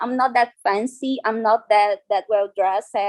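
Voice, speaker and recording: Speaking at a fairly slow pace, a woman with a Brazilian Portuguese accent has a fairly high pitch. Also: dry, close sound with no echo. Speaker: dance artist and researcher. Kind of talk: conference talk. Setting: video call. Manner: halting.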